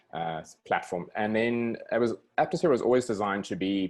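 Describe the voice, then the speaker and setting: A man speaks at a moderate pace with a non-native accent. The background is quiet. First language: not English. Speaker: software developer. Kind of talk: presentation in webinar. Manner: halting, many fillers and restarts.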